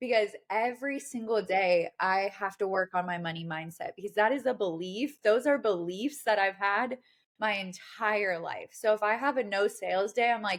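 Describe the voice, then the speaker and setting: In a very clean recording with a silent background, a woman with an American accent speaks with hardly any pauses and ordinary pitch variation, a plain, everyday voice. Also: medium pitch for a woman, moderate pace. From Washington State, US. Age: 30s. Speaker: digital marketing entrepreneur. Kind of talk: casual interview chat.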